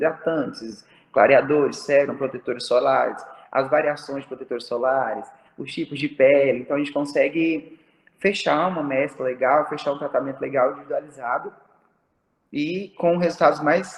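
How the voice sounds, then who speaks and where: The man talks at a moderate pace. His voice sits fairly high. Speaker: aesthetic pharmacist. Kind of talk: online talk to students. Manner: animated.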